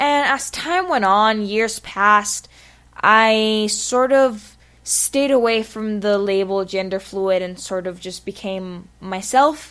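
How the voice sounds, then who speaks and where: A woman speaks with a Spanish accent. Her pace is very slow, and her pitch varies in an ordinary way. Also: fairly high pitch for a woman. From Spanish-speaking country. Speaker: vlogger. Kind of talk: personal vlog monologue.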